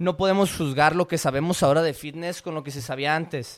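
This is an ordinary speaking voice from a man, pitched fairly high with ordinary pitch variation. The recording is very clean, with a silent background. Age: 20s. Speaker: podcast host, fitness coach. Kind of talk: solo podcast monologue, reading and commenting an article.

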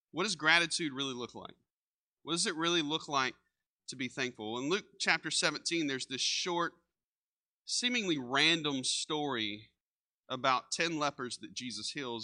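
A man's fairly high, bright and sharp voice with a Texan accent, over a quiet background. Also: dry, close sound with no echo. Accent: Texan Southern US. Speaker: pastor. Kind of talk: sermon. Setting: church. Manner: casual, conversational.

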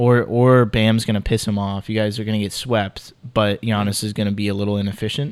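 Speaking at a fairly quick pace, a man with a fairly low pitch holds a monotone, flat intonation on a very clean recording with a silent background. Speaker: basketball podcast co-host. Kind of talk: casual chat.

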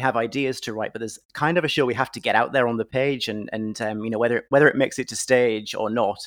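Delivered very fast in a northeast English accent, the speech has fairly even intonation and hardly any pauses. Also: man. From northeast England. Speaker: screenwriter and playwright. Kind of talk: interview. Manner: halting, many fillers.

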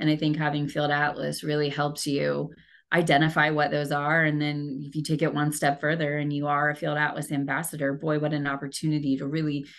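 A woman with a Midwestern American accent talks at a moderate pace. Her pitch is very deep and low, and the background is quiet. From rural Indiana, US Midwest. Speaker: communications manager. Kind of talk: interview.

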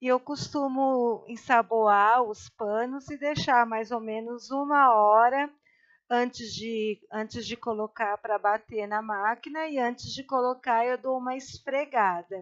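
In a dry, close recording with no echo and a quiet background, a woman with a high voice speaks at a fairly slow pace and fairly even intonation. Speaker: guest, host's mother. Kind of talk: casual chat.

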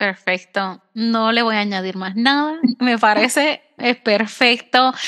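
Speaking fairly slowly, a woman with a Puerto Rican accent has a fairly high pitch. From Puerto Rico. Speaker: podcast host. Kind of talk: casual interview conversation.

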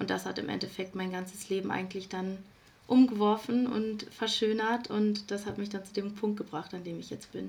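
Using a normal speaking voice, a woman of medium pitch speaks at a moderate pace with fairly even intonation and big swings in loudness. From Ruhr area, Germany. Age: 20s. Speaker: self-love coach. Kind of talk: podcast interview.

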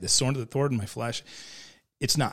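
A somewhat breathy man at a very fast pace, on a very clean recording with a silent background. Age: 40s. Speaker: surf shop owner. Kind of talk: casual Bible discussion. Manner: frequent repetitions and restarts.

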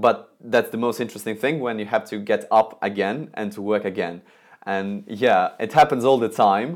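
The voice carries a Russian accent in a very clean recording with a silent background. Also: man. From Russia, Moscow. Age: 20s. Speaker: calligraphy and lettering artist. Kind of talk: interview. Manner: halting.

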